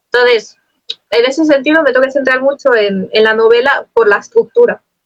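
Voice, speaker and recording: Delivered at a fairly quick pace with ordinary pitch variation, the voice sounds dry and close with no echo. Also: woman. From Spain. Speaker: poet. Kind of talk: interview. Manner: fast.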